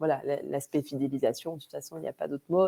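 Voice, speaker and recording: In a Vosges accent, a woman speaks with a dark, mellow tone and fairly even intonation, her sound dry and close with no echo. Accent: Vosges (eastern France). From Vosges, eastern France. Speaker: webinar presenter. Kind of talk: webinar presentation. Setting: online webinar. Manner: hesitant, many fillers.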